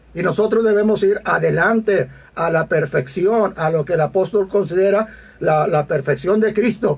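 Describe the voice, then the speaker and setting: The man talking has a high-pitched voice. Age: 60s. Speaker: pastor. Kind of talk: teaching sermon. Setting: radio broadcast. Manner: halting, many fillers.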